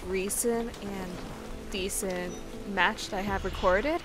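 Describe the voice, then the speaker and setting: A woman speaks at a fairly slow pace with a medium pitch. Music plays in the background. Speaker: gamer. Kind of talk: game commentary.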